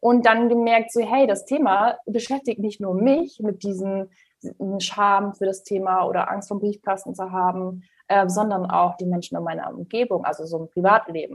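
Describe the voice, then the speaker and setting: Here a woman talks at a moderate pace and a medium pitch, with ordinary pitch variation. Hers is an unremarkable speaking voice. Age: 20s. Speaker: money mentor. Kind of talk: podcast interview.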